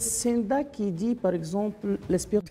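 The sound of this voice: Over noticeable background noise, a woman speaks at a fairly slow pace. Her pitch is medium, with ordinary variation.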